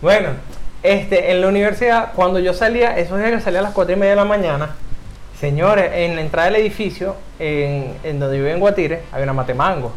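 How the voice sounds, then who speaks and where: Speaking very fast in a room with audible echo, a man uses a high pitch with ordinary pitch variation. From Venezuela (Caracas area). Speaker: podcast host. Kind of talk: casual chat.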